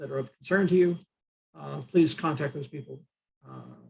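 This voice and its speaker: A somewhat breathy man with an American accent, fairly high pitch and fairly even intonation. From United States. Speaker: trainer, disaster management consultant. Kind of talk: online training session. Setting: Zoom video call. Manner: fast; hesitant, many filler uhs.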